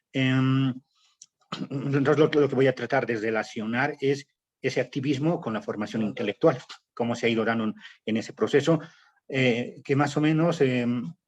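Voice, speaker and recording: Pausing often and at length, a man talks at a moderate pace and medium pitch, with ordinary pitch variation. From Bolivia, El Alto / La Paz. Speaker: political activist and writer. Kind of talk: academic panel talk. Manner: hesitant, many fillers.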